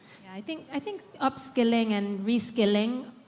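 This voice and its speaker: At a moderate pace, a woman speaks in a fairly high pitch, her voice somewhat breathy. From United Kingdom. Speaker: social enterprise founder. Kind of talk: panel discussion.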